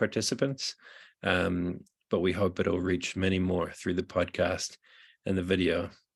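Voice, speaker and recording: This man's voice sits very deep and low, moving at a moderate pace. The recording is very clean, with a silent background. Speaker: interviewer, podcast host; public theology programme manager. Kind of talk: event introduction.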